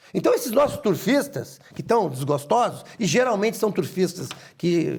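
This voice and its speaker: The man's pitch swings very widely as he keeps a moderate pace. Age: 60s. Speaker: horse racing club president. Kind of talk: interview. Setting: studio.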